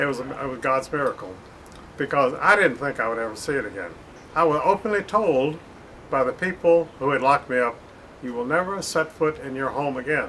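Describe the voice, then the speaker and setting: Noticeable background noise sits behind a man with an American accent and a fairly high pitch. He talks at a fairly quick pace with lively intonation. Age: 80s+. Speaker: author. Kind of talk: personal statement to camera. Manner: halting, many filler sounds.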